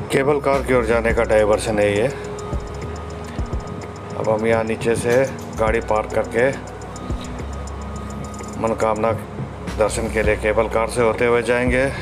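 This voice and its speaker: A man's fairly low voice at a fairly slow pace, with fairly even intonation, very even loudness and long, frequent pauses, music in the background. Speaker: travel vlogger. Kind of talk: casual vlog chat. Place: street. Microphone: phone near.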